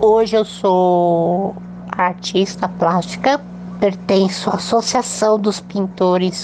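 Noticeable background noise sits under speech delivered at a very slow pace with fairly even intonation. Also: woman. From São Paulo state, Brazil. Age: 40s. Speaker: polio survivor and mouth painter. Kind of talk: interview testimony.

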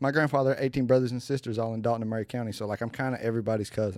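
In a Southern US accent, a man talks in an animated tone at a medium pitch, on a very clean recording with a silent background. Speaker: rapper and podcast co-host. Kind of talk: casual chat.

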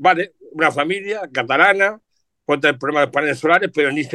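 The sound is dry and close with no echo as a man with a bright, sharp tone and a fairly high pitch speaks at a fairly quick pace. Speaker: journalist and radio presenter. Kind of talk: casual chat. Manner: animated.

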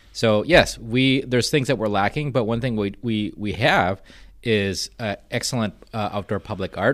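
A normal speaking voice from a man, fairly low in pitch, moderate in pace, with ordinary pitch variation in a very clean recording with a silent background. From Minnesota, partly raised in Guatemala. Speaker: arts nonprofit director. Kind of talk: podcast interview.

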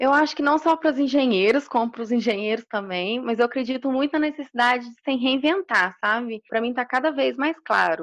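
A woman speaks in a high pitch with ordinary pitch variation and hardly any pauses. The sound is dry and close with no echo, over a quiet background. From Minas Gerais, Brazil. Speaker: electrical engineer. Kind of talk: interview.

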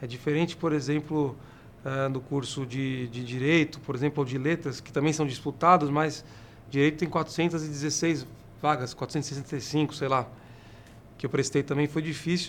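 The speaker talks at a fairly slow pace with fairly even intonation. Long, frequent pauses break up the speech. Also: man, fairly high pitch for a man. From São Paulo. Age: 30s. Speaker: city councillor and podcast host. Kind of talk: casual interview.

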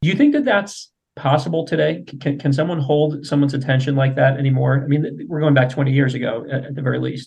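A man speaks with a fairly high-pitched voice. There's a somewhat breathy quality to it. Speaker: podcast host. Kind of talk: interview. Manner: halting.

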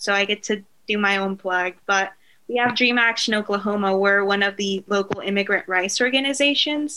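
A woman with a Spanish accent speaks in a bright, sharp tone. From Mexico, Acapulco; moved to US at seven. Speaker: library resource coordinator and immigrant rights advocate. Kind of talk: podcast interview.

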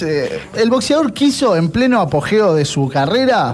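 A man talks at a high pitch and moderate pace, his intonation lively, over noticeable background noise. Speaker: radio host. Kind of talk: casual chat.

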